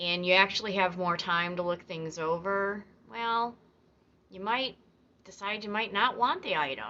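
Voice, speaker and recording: A woman speaks in a normal speaking voice. Her pitch is medium and her pace moderate. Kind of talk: casual explainer talk to camera, educational fun-fact narration.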